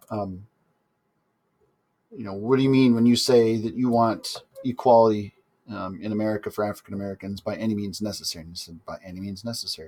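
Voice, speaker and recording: A man with a dark, mellow tone and fairly low pitch, very fast in pace yet with long, frequent pauses, fairly even intonation and big swings in loudness. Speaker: history teacher. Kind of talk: recorded lesson. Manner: casual, with fillers.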